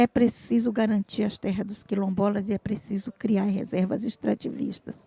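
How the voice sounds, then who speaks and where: Her voice somewhat breathy and dark, mellow in tone, a woman speaks at medium pitch and moderate pace in monotone, flat intonation, with hardly any pauses and a dry, close sound with no echo. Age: 60s. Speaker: traditional fisherwoman and activist. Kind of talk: panel talk.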